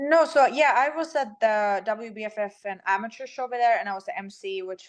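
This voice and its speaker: Against a quiet background, a woman speaks at a moderate pace in a fairly high pitch. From Sweden. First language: Swedish. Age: 30s. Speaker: bikini fitness champion. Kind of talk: casual interview.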